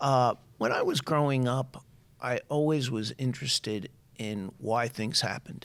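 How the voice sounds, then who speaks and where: With a New York accent, a man speaks at a moderate pace and fairly even intonation. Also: medium pitch for a man. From New York, Long Island. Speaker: higher education official. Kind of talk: interview.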